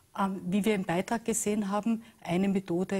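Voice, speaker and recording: A woman speaks at a moderate pace in a dark, mellow tone that is somewhat breathy, her intonation fairly even. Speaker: talk show guest. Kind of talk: interview answer. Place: studio.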